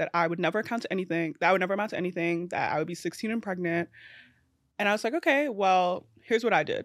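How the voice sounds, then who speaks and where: A woman with a New York accent talks very fast at a medium pitch, her pitch varying in an ordinary way, on a very clean recording with a silent background. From Brooklyn, New York. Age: 20s. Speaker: social media creator. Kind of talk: casual chat. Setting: studio.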